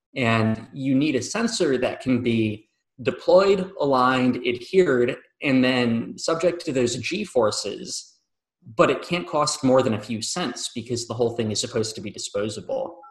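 A somewhat breathy man's voice at a medium pitch, moderate in pace, with lively intonation. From Michigan, US. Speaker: professor, engineering researcher. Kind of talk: interview.

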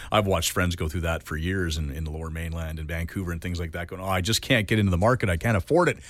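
With a Canadian accent, a man speaks very fast with hardly any pauses in a very deep, low voice, captured in a very clean recording with a silent background. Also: ordinary pitch variation. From Canada. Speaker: radio show co-host. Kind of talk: casual chat.

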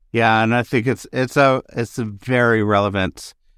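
In a dry, close sound with no echo, a man with a normal speaking voice talks fairly slowly at medium pitch, using ordinary pitch variation. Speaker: podcast host. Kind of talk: interview conversation with intro. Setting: video call.

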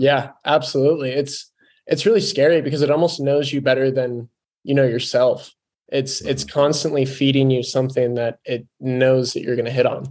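Speaking at a moderate pace, a man with a plain, everyday voice sits fairly high in pitch and keeps his intonation fairly even. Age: 20s. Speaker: podcast host. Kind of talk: casual interview; podcast intro.

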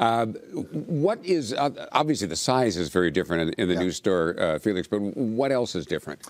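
Pitch swings very widely as the speaker talks at a fairly quick pace. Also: man, hardly any pauses, very clean recording, silent background. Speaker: TV interviewer host. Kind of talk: interview.

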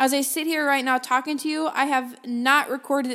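A loud woman with an animated tone at a moderate pace. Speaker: podcast host. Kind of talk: solo podcast monologue. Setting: home office with microphone, slight echo.

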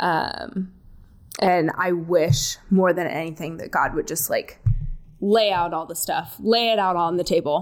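A woman with an American accent speaks slowly in a normal speaking voice, her fairly low pitch held in a fairly even intonation, on a very clean recording with a silent background. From California, Palm Springs area. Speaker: executive assistant, pastor's kid. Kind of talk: casual chat.

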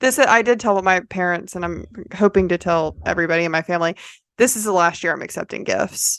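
A woman speaks in an unremarkable speaking voice at a medium pitch, with ordinary pitch variation. She talks at a fairly quick pace over a quiet background. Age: 30s. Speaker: podcast host. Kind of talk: casual chat.

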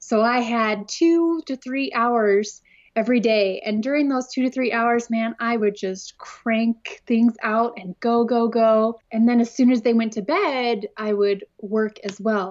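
The pace is fairly slow, with hardly any pauses. Pitch variation is ordinary. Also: woman, fairly high pitch for a woman. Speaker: scrapbooking designer and teacher. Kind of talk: casual interview chat. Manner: introverted, nervous about speaking.

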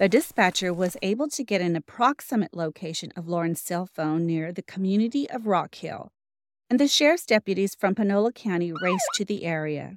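With a plain, everyday voice, a woman talks at a fairly quick pace and medium pitch with lively intonation, the sound dry and close with no echo. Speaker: podcast host. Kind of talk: true-crime narration. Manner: measured, grave, steady storytelling with occasional wry asides.

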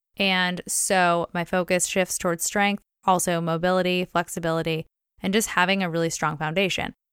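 At a moderate pace, a woman uses a normal speaking voice with fairly low pitch, the sound dry and close with no echo and the recording very clean against a silent background. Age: 20s. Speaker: podcast host, personal trainer and sports nutritionist. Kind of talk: solo podcast monologue, educational. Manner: upbeat, casual.

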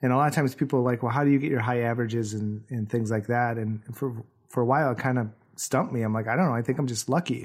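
A man speaks at a very fast pace and a medium pitch, his intonation fairly even. The recording is very clean with a silent background. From Wisconsin. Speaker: professional photographer, podcast co-host. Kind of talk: casual chat.

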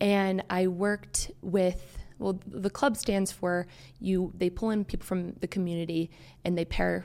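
Speaking with an American accent, a woman has a medium pitch and a dark, mellow tone. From US, Maryland. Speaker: occupational therapy student. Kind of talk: interview. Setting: studio.

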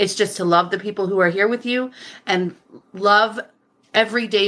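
A woman speaks in a bright, sharp tone. Her pace is fairly quick. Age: 40s. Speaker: podcast guest sharing personal story. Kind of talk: casual interview chat.

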